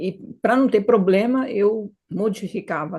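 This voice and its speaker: The voice is somewhat breathy with a dark, mellow tone, ordinary pitch variation and a fairly slow pace. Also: woman. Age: 70s. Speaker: retired hypnotherapist. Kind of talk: interview.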